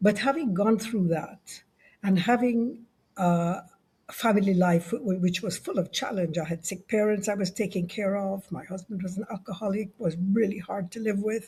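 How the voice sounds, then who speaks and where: At a moderate pace, a woman talks in a medium pitch with a dark, mellow, somewhat breathy tone and ordinary pitch variation. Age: 70s. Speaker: leadership consultant and author. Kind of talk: interview conversation.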